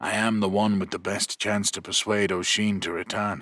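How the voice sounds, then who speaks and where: A man's put-on character voice, raspy and fairly low, with a monotone, flat intonation at a moderate pace. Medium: read story. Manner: quiet, reserved.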